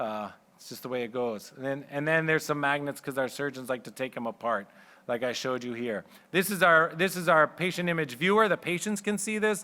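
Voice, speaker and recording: In a very clean recording with a silent background, a man speaks fairly quickly with lively intonation and a bright, sharp tone. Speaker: radiologist. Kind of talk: conference talk. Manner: loud; fast.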